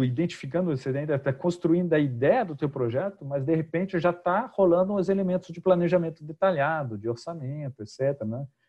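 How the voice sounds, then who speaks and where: A somewhat breathy man's voice, fairly high in pitch, with lively intonation and a moderate pace. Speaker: project management trainer. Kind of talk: webinar presentation.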